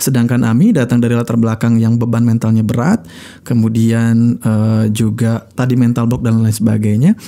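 Against a quiet background, a man with a dark, mellow tone speaks in a monotone, flat way at very even loudness with hardly any pauses. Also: moderate pace. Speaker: radio broadcaster and speaker; podcast guest. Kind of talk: casual chat. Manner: calm, not fiery. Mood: calm, reflective. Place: studio. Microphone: studio mic.

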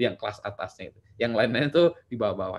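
Very fast and animated, the speech swings very widely in pitch. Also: man. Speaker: lecturer and startup practitioner presenting a book; lecturer. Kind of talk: online book discussion presentation. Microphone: webcam.

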